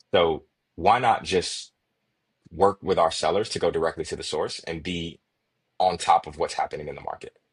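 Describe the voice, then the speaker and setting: A man's voice, dry and close with no echo, full of long, frequent pauses and big swings in loudness. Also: moderate pace. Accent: Chicago. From Chicago, USA. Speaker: sales enablement consultant. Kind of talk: podcast interview answer.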